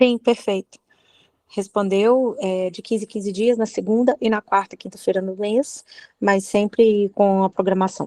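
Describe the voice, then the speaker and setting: Dark and mellow in tone, a woman's voice holds a medium pitch and fairly even intonation at a moderate pace. The sound is dry and close, with no echo. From Belo Horizonte, Brazil. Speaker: study group participant. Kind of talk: question in online study group. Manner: hesitant, with fillers.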